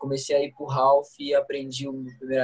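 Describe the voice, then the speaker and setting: Moderately paced speech from a man with a fairly high voice. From Brazil, Guaratinguetá, São Paulo state. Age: 20s. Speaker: pro skateboarder. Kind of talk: casual chat.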